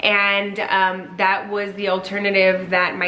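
A woman speaks fairly slowly while light noise runs in the background. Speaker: vlogger. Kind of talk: casual vlog chat. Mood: earnest, grateful. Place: home room. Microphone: camera far.

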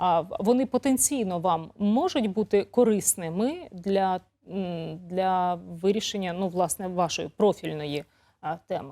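On a very clean recording with a silent background, a woman speaks very slowly in a dark, mellow tone with ordinary pitch variation. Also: medium pitch for a woman. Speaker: TV news presenter. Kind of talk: TV interview. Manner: conversational.

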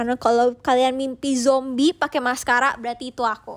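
Her pitch is high and her intonation monotone and flat. The woman keeps a moderate pace. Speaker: idol group member livestreaming to fans. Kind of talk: casual livestream chat. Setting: live streaming app, audio only.

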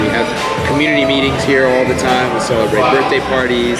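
A man talks at a fairly quick pace over loud background music. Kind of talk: interview answer. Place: bar.

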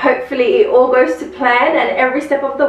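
A woman's voice carries audible room echo. Light background noise sits behind it. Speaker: home DIY vlogger. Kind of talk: casual vlog chat. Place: home room. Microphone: camera far.

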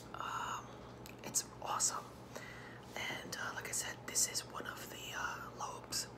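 A woman speaks at a very slow pace with long, frequent pauses. Noticeable background noise runs underneath. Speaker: ASMR vlogger. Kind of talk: ASMR eating video, casual talk to camera. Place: home room. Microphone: phone near.

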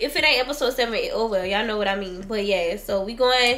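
A woman at a very fast pace with ordinary pitch variation. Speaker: vlogger. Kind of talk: casual vlog chat. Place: home room. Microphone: camera far.

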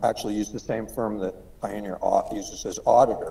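A man talks at a moderate pace. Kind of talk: meeting discussion remarks. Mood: calm, explanatory.

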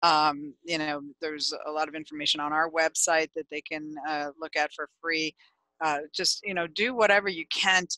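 A woman at a moderate pace with a bright, sharp tone, fairly low pitch and fairly even intonation, in a dry sound with no echo over a quiet background. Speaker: podcast guest, attorney. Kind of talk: interview answer. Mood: calm, explanatory. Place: home room. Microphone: headset.

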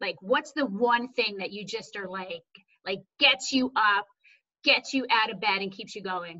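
A woman's enthusiastic, bright, sharp voice, fairly high in pitch with ordinary variation, at a fairly slow pace, with big swings in loudness over a quiet background. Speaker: podcast host. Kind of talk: interview. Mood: warm, enthusiastic. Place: home room. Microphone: video call.

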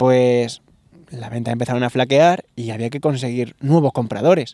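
Ordinary pitch variation in a male voice with a dark, mellow tone. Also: quiet background, dry sound with no echo. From La Solana, Castilla-La Mancha, Spain; Castilla-La Mancha. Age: 30s. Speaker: novelist; interviewee. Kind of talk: interview. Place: garden. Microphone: handheld.

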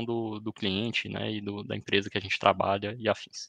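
At a fairly quick pace, a man talks with a Brazilian accent. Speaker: cloud solutions architect. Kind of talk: technical webinar presentation. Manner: hesitant, many fillers.

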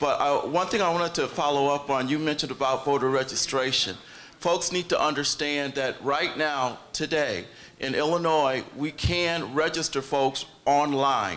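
A man speaks at a moderate pace with fairly high pitch and ordinary pitch variation. His loudness stays very even. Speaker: city clerk candidate, audience questioner; candidate, questioner. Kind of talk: audience question. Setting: stage with audience. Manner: halting. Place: hall.

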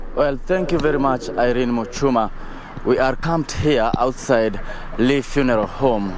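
A man's voice, with ordinary pitch variation, comes through a dry sound with no echo over light background noise. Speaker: TV field reporter. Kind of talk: live news report. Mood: sombre, measured. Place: street. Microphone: handheld.

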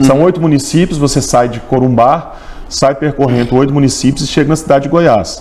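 A man talks with ordinary pitch variation. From Minas Gerais, Brazil. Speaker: tourism agency president, lawyer and professor. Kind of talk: formal interview answers. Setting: studio. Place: studio. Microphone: lapel.

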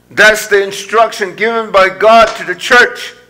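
A man speaks very slowly in a raised, projected voice at a high pitch. His intonation is monotone and flat. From India. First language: Indian language. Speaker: pastor. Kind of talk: sermon. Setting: church. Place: church.

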